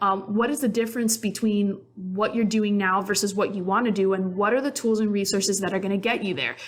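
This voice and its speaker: A woman at medium pitch with fairly even intonation, a fairly quick pace and hardly any pauses. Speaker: podcast host and career author. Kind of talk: solo podcast monologue. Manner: fast; casual, with filler ums.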